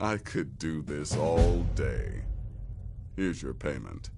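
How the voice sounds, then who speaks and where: Over clear background noise, a man puts on a character voice with a very deep, low pitch, delivered at a fairly slow pace. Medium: video game. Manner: brisk, dry.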